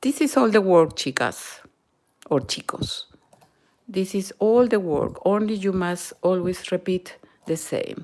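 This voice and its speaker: Speaking in a Peruvian accent at a fairly slow pace, the voice has lively intonation and long, frequent pauses. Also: woman, medium pitch for a woman. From Peru, Lima. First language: Spanish. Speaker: knitting and crochet instructor. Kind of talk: live-stream tutorial. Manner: halting, with fillers and Spanish code-switching.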